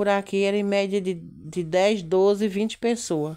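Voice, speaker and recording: Over a quiet background, a woman with a dark, mellow tone speaks at a fairly slow pace. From Brazil, rural Northeast (Pernambuco interior). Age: 40s. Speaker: lifestyle vlogger. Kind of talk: casual travel vlog. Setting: in a car. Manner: chatty, repetitive fillers. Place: car. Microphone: phone near.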